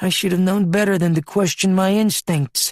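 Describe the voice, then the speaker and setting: At a moderate pace, a man puts on a high-pitched character voice with very even loudness. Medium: read story. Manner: calm, probing.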